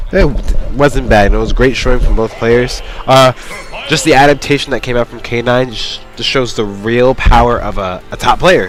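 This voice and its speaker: Music plays in the background while a man speaks at a moderate pace. His pitch is medium, with ordinary variation. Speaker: esports commentator. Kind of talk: live commentary. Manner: animated.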